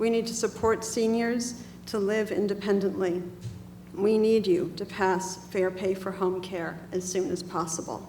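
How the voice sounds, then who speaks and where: A woman's fairly slow, fairly evenly intoned speech in audible room echo. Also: medium pitch for a woman. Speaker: senior home care advocate. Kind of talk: testimony.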